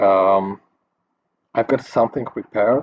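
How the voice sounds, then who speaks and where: This man has a non-native accent, a fairly low pitch and fairly even intonation. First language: not English. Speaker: 3D graphics tutor. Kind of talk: tutorial. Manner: halting, many fillers.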